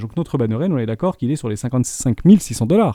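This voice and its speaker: A man speaks in a dark, mellow tone with lively intonation. The sound is dry and close, with no echo. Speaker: crypto trading analyst. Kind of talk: tutorial. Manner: fast.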